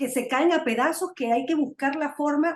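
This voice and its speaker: A woman's moderate-paced speech shows ordinary pitch variation. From Venezuela. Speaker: political talk show host. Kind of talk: interview.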